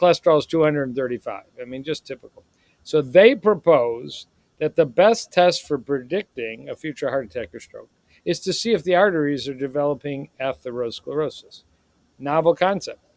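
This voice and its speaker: At a fairly quick pace, a man uses a normal speaking voice at a fairly high pitch with lively intonation. His loudness swings widely, and the sound is dry and close with no echo. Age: 60s. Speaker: cardiologist. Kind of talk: podcast interview.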